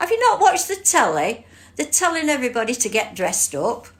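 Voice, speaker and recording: A woman with an English accent and very wide pitch swings. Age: 70s. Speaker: livestream host, court volunteer. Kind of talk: casual livestream chat. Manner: animated.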